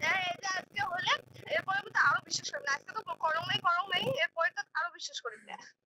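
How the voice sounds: Speaking at a very fast pace, a woman with an extremely high pitch has a bright, sharp tone and fairly even intonation, in a dry, close sound with no echo.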